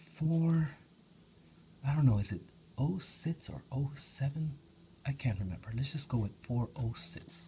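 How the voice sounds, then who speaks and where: Soft-spoken and somewhat breathy, a man talks at a fairly slow pace with long, frequent pauses, a fairly high pitch, lively intonation and a dark, mellow tone over light background noise. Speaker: hobby video maker. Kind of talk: casual ASMR tutorial talk to camera. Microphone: phone near.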